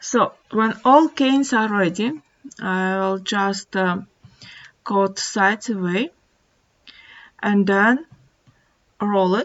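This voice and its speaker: A woman speaks with a non-native accent at a very slow pace. She leaves long, frequent pauses. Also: medium pitch for a woman, ordinary pitch variation. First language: not English. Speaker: polymer clay artist. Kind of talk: craft tutorial narration. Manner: hesitant.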